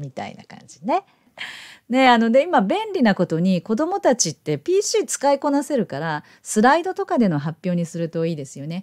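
A woman speaks at a fairly high pitch with very wide pitch swings and big swings in loudness. The sound is dry and close, with no echo. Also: moderate pace. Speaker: YouTube educator for elementary English teachers. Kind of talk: tutorial. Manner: casual, friendly teacherly tone.

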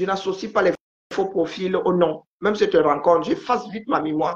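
A woman speaks at a fairly slow pace, her pitch rising and falling in an ordinary way. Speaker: live-stream commentator. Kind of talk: casual live-stream chat. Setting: video call. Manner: calm. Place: home room. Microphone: phone near.

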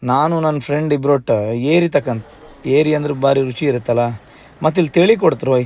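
A man speaks in a plain, everyday voice with a fairly high pitch. His pitch varies in an ordinary way. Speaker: food and travel vlogger. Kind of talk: travel vlog narration.

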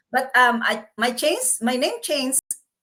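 A high-pitched woman's voice, bright and sharp, at a fairly slow pace with fairly even intonation. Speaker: healthcare worker and online business owner. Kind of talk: interview.

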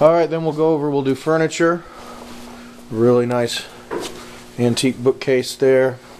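A man's fairly high voice in an American accent, with fairly even intonation, a moderate pace, long and frequent pauses, and noticeable background noise. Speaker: auctioneer. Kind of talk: walkthrough preview narration of auction lots. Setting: walking through auction hall with camera. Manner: casual, rattling off lot descriptions.

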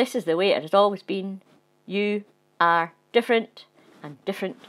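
The voice is plain reading aloud, and its pitch varies in an ordinary way.

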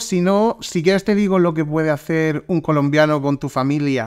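In a very clean recording with a silent background, a man talks at a moderate pace in an animated tone. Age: 20s. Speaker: podcast host. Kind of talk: casual chat.

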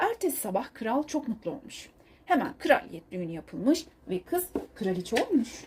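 A woman speaks at a moderate pace in a fairly high pitch, with big pitch swings, a dark, mellow tone and a slightly husky edge.

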